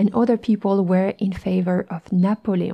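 Over a quiet background, a woman with a French accent and a dark, mellow tone speaks at a moderate pace. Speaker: French teacher, podcast host. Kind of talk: educational podcast monologue.

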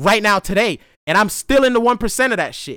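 A man with a high pitch uses a raised, projected voice and a bright, sharp tone, with ordinary pitch variation at a fairly quick pace. The sound is dry and close with no echo, a very clean recording with a silent background. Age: 30s. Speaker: podcast host. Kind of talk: casual monologue.

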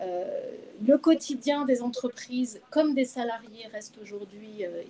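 The tone is dark and mellow. Delivery comes at a very slow pace. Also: woman. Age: 50s. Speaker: HR director. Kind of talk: interview. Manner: hesitant, many fillers.

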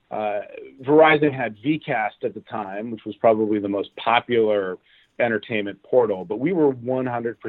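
A man with an American accent and a plain, everyday voice talks at a moderate pace with ordinary pitch variation. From Los Angeles, US. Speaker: TV network executive. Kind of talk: interview.

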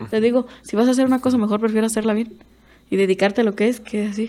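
Fairly high in pitch, a woman speaks very fast in a dark, mellow tone with monotone, flat intonation. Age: 20s. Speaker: bull rider. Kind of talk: casual interview.

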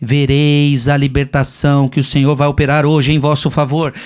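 Here a man speaks with a Brazilian accent. His pace is moderate. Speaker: preacher. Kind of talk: Lenten sermon, teaching from a book and the Bible. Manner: direct, repeats phrases for emphasis.

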